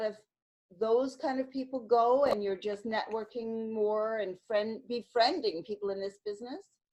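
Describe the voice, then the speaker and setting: At a moderate pace, a woman with an ordinary speaking voice talks at a fairly high pitch with ordinary pitch variation. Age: 60s. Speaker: interviewer. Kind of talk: interview.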